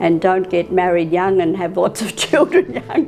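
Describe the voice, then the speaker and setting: An Australian accent, very wide pitch swings, and a moderate pace over noticeable background noise. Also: woman. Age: 70s. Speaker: elderly interviewee. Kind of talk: interview. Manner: hesitant.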